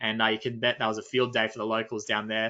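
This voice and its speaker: A man is speaking. He has an Australian accent. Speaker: nature expedition leader. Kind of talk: webinar presentation.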